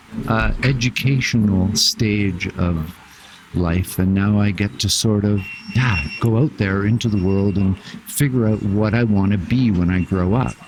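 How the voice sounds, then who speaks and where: The speaker has a Canadian accent and talks at a fairly slow pace with ordinary pitch variation and very even loudness. Noticeable background noise is present. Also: man, fairly low pitch for a man. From Canada. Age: 60s. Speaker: traveler. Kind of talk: casual chat. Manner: halting, many fillers.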